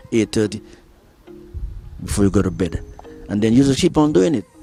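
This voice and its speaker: A man's medium-pitched voice with ordinary pitch variation, music playing in the background. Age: 70s. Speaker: gym enthusiast. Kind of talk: interview answer.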